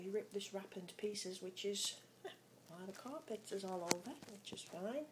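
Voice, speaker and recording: A woman talks at a moderate pace through noticeable background noise. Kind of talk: casual pet narration. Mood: fond, relaxed, amused. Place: kitchen. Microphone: phone near.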